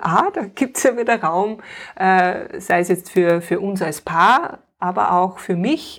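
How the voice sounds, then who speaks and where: This is a plain, everyday voice from a woman at medium pitch, with ordinary pitch variation. She speaks at a fairly slow pace on a very clean recording with a silent background. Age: 40s. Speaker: painting-play facilitator and homeschooling mother. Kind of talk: interview.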